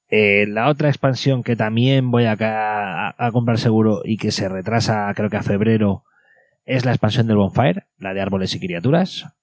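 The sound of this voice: Delivery comes in a normal speaking voice at a moderate pace, the pitch varying in an ordinary way. The background is silent in this very clean recording. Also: man, fairly low pitch for a man.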